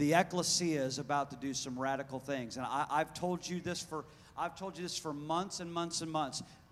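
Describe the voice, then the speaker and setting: A man's fairly high-pitched voice moves along at a moderate pace. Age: 40s. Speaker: pastor. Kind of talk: sermon. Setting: church. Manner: animated.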